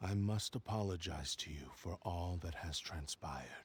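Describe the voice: A man's put-on character voice, low-pitched with a husky, rough edge, ordinary pitch variation and a fairly slow pace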